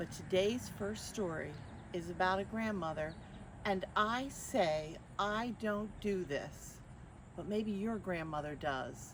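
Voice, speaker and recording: A woman at medium pitch, lively in intonation, talking at a very slow pace. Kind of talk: children's story reading. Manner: warm, friendly.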